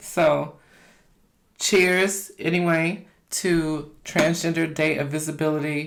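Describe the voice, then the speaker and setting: Someone with an American accent speaks at a very slow pace in a monotone, flat intonation. Audible room echo fills the recording. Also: woman. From US South, Kentucky. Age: 40s. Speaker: mukbang YouTuber. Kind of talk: casual vlog talk to camera while eating.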